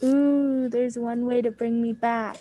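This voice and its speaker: Using a put-on character voice, a woman speaks at a high pitch. The delivery is monotone, with flat intonation. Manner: spooky, drawn out.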